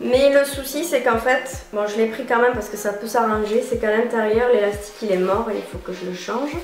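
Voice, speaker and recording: Over music in the background, a woman with a southern French accent talks at a moderate pace in a fairly high pitch, with ordinary pitch variation. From southern France. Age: 20s. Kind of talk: casual clothing haul talk to camera.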